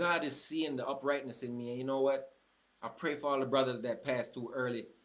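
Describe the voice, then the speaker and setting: A fairly quick, medium-pitched man's voice over noticeable background noise. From Jamaica. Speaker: vlogger. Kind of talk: impassioned monologue. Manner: animated.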